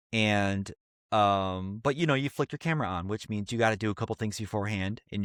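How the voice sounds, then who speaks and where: A man's fairly low voice at a fairly quick pace, an unremarkable speaking voice, dry and close with no echo, over a quiet background. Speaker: podcast co-host. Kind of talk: casual chat.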